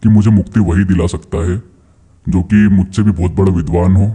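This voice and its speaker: A put-on character voice delivers the lines with a menacing tone. The pace is fairly quick. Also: man, very deep, low pitch for a man. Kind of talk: horror narration. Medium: read story. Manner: menacing, commanding.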